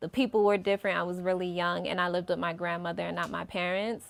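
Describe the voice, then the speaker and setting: A strong New York accent on a very clean recording with a silent background. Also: woman. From New York (Brooklyn), then Atlanta from 12. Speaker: singer. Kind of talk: interview.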